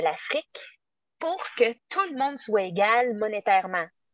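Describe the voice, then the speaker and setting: A woman with a Quebec accent speaks at a fairly slow pace in a fairly high pitch, with very wide pitch swings. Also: dry, close sound with no echo. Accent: Québécois French. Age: 40s. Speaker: teacher. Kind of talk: casual chat.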